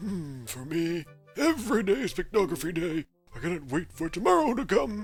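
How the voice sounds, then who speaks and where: Over faint music in the background, a put-on character voice at middle pitch delivers a theatrical tone at a moderate pace. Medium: solo performance. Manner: theatrical, self-satisfied.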